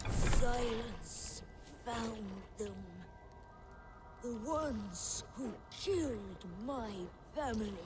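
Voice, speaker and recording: A put-on character voice, female-sounding and fairly high in pitch, moves at a very slow pace against clear background noise. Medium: game stream. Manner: halting, speaks of self in third person.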